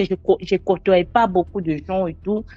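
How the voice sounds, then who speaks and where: A woman speaks with a Congolese accent at a fairly slow pace. Her tone is dark and mellow. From DR Congo. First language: not French (speaks seven languages) (speaking French). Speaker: storyteller sharing personal testimony. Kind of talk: testimony. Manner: halting.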